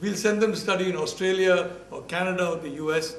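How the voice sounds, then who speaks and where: Amid noticeable background noise and audible room echo, a man with a Bombay accent speaks at a moderate pace in a high pitch with fairly even intonation. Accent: Bombay Indian English accent, can't shake it. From India (Bombay). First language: Malayalam. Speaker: professor. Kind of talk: lecture. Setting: university talk with audience. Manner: halting, with false starts and fillers.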